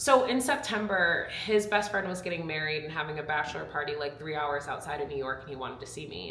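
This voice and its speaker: Talking at a very fast pace with lively intonation, a woman is heard through audible room echo and noticeable background noise. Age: 20s. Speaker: YouTuber and former reality TV contestant. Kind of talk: casual chat.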